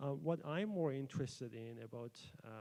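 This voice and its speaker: Speaking at a moderate pace, a man has a Persian accent. His tone is dark and mellow. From Iran. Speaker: PhD student researcher. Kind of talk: conference presentation. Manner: hesitant, many fillers.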